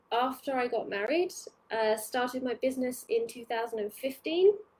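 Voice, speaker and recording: With a British accent, a woman speaks at a high pitch. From UK. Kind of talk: live training webinar. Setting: Facebook live stream. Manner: casual, hesitant with many fillers.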